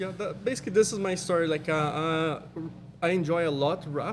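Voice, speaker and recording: A man talks at a moderate pace with fairly even intonation. The room echo is audible, and background noise is noticeable. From Brazil, Minas Gerais. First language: Portuguese. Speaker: vinyl wrap installer. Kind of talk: casual chat. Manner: halting.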